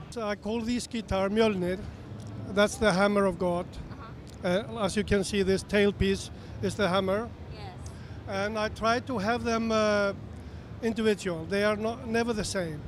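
A man with an Icelandic accent speaks at a high pitch for a man. The sound is dry with no echo, over light background noise. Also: fairly even intonation, moderate pace. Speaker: guitar builder. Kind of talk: trade show interview. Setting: trade show floor. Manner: halting. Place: hall. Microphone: handheld.

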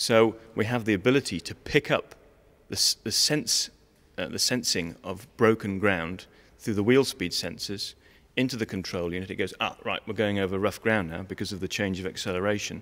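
At a moderate pace, a man with a fairly low pitch uses a plain, everyday voice and ordinary pitch variation. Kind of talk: interview answer. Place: hall. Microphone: handheld.

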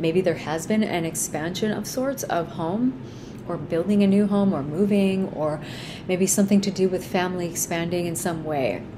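Noticeable background noise sits behind a woman speaking at a moderate pace, her pitch fairly low, with ordinary pitch variation. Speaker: astrology reader. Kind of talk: astrology forecast talk. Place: home room. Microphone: phone near.

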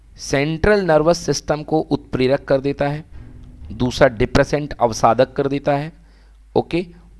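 Music plays behind a man whose fairly high voice moves at a moderate pace with ordinary pitch variation, the sound dry and close with no echo. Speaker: teacher. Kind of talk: online class lecture.

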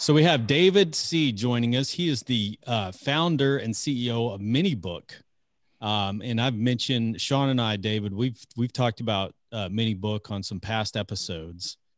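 A man talks at a moderate pace. The sound is dry with no echo, over a quiet background. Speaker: podcast host. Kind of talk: podcast intro. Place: home room. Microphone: studio mic.

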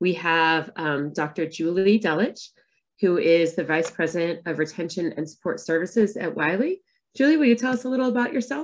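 Lively intonation from a woman at a moderate pace, her pitch fairly low. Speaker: moderator and coach. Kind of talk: webinar moderation. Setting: video call. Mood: friendly, upbeat. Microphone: video call.

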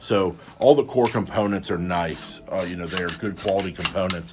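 A man with a fairly low pitch has a normal speaking voice. His pitch varies in an ordinary way, with light background noise. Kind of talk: product explanation during a tour. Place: office. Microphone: phone near.

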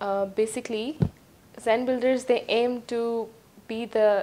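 This woman has a dark, mellow tone and monotone, flat intonation. She talks at a fairly slow pace. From Pakistan. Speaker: real estate presenter; presenter. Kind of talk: promotional property presentation. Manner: hesitant with frequent fillers. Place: home room. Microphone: lapel.

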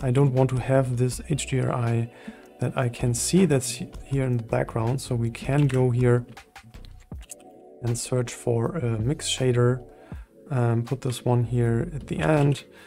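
A man speaks at a fairly slow pace with long, frequent pauses and fairly even intonation. Faint music plays in the background. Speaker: 3D software tutor. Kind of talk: tutorial.

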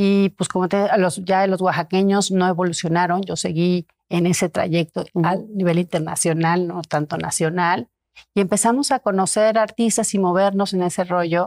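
Fairly even intonation at a moderate pace, hardly any pauses, and a quiet background. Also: woman. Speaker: art collector; interview guest. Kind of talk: casual interview chat; interview answer. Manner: halting, many repetitions. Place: home room. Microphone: lapel.

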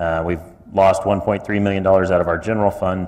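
A man with a Midwestern American accent speaks at a fairly quick pace and fairly low pitch, with fairly even intonation. Noticeable background noise can be heard. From Kansas. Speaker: city commission candidate. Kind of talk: candidate forum statement.

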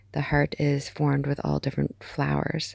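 Against a quiet background, a soft-spoken woman with a very deep, low voice talks at a fairly slow pace in a calm tone, her intonation fairly even and the sound dry with no echo. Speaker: amateur artist. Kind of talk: ASMR art collection tour. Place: home room. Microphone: phone near.

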